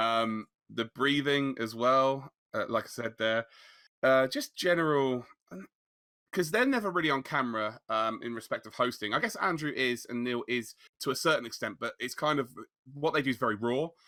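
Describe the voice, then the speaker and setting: This man's tone is bright and sharp. The recording is very clean, with a silent background. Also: medium pitch for a man, ordinary pitch variation. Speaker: sim racing commentator and league owner. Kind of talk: casual interview chat. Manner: fast.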